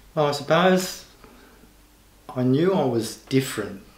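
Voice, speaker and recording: A man speaks with an Australian accent, and audible room echo can be heard. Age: 60s. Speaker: interviewee, senior LGBTI community member. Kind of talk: personal testimony.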